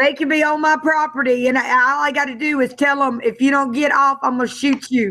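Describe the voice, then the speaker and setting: Projecting a raised voice, a woman with a high pitch speaks at a fairly quick pace with hardly any pauses, fairly even intonation and very even loudness. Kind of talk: casual chat.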